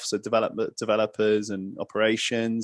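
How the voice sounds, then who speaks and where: This man has a medium pitch and speaks with a British accent. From England, London. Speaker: fitness entrepreneur, former footballer. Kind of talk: podcast interview.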